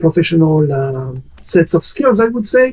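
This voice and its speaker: A dark, mellow tone in a French accent. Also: man. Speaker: community discussion moderator. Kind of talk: casual discussion on online community talk. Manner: hesitant, many fillers.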